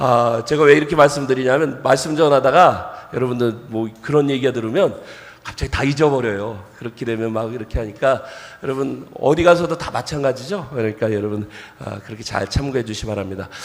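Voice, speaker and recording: The speaker moves at a fairly quick pace with ordinary pitch variation and big swings in loudness, over noticeable background noise. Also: man, medium pitch for a man. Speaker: pastor. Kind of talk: sermon. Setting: church.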